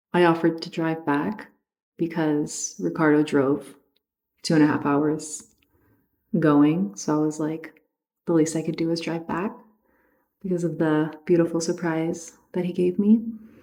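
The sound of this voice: Her voice is low for a woman, with a dark, mellow tone, little pitch movement and a fairly slow pace.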